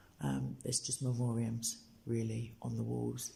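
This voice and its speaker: A quiet, somewhat breathy man with an English accent, medium pitch, a dark, mellow tone, fairly even intonation and a fairly slow pace. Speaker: street preacher livestreamer. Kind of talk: live stream tour. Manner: speaking quietly.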